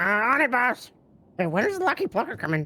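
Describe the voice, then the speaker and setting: A put-on, raspy character voice, female-sounding and fairly high, with very wide pitch swings and a fairly quick pace. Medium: game stream. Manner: blunt, casual slang.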